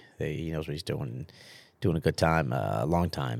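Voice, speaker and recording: This man's pitch is very deep and low, with vocal fry. He speaks at a fairly quick pace. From Sicily, then New Jersey and upstate New York. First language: Italian. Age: 40s. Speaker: restaurant owner. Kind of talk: casual interview chat. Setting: studio. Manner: halting.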